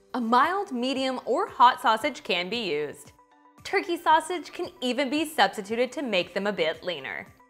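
Over faint music in the background, a woman talks at a moderate pace with a high pitch. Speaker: cooking host. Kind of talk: tutorial. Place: kitchen.

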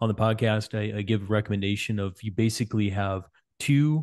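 A man talks at a moderate pace with a fairly low pitch and fairly even intonation, a plain, everyday voice. The background is quiet. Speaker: cycling coach and podcast host. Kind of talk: interview podcast. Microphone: studio mic.

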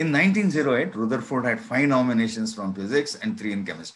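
Speaking at a moderate pace with an Indian accent, a man shows ordinary pitch variation. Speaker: physics professor. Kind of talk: lecture. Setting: video call. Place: home room. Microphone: webcam.

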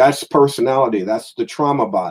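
With an American accent, a man talks at a fairly quick pace in a plain, everyday voice, fairly high in pitch, with lively intonation. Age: 50s. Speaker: metaphysical minister and lecturer. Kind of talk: online lecture sermon. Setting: livestream with slides.

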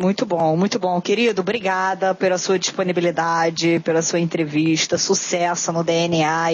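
Her voice is fairly low-pitched and monotone, with flat intonation, and the woman keeps a moderate pace. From Rio de Janeiro. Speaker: podcast host. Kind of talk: interview. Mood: warm, grateful. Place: home room. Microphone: headset.

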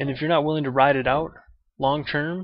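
A man talks at a fairly quick pace with fairly even intonation. The sound is dry, with no echo. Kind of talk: casual vlog rant. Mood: blunt, opinionated, mildly annoyed. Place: home room. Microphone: webcam.

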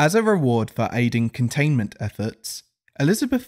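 A moderate pace in an English accent on a very clean recording with a silent background. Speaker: SCP narrator. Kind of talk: SCP file narration.

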